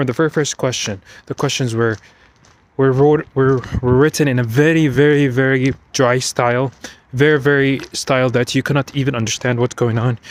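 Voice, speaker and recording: In a dry, close recording with no echo, a man speaks fairly quickly at a medium pitch with monotone, flat intonation. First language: not English. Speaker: IT security professional. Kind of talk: personal vlog monologue. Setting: outdoors, walking at night. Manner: unscripted, repetitive and halting.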